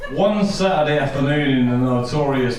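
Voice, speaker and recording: With a Yorkshire accent, a man at medium pitch speaks at a moderate pace with ordinary pitch variation, amid audible room echo and noticeable background noise. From Yorkshire, northern England. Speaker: best man. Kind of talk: wedding speech. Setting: wedding reception with audience.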